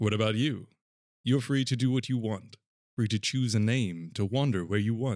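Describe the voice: Plain reading aloud plays out against a quiet background.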